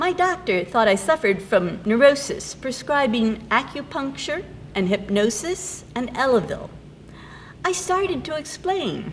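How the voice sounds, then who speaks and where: A woman's high-pitched voice with very wide pitch swings, a fairly slow pace and noticeable background noise. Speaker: poet and English professor. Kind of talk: poetry reading.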